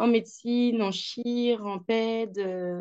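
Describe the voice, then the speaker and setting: Her tone dark and mellow, a woman talks with ordinary pitch variation in a dry, close sound with no echo. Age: 30s. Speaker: nurse. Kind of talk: testimony. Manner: hesitant, many fillers.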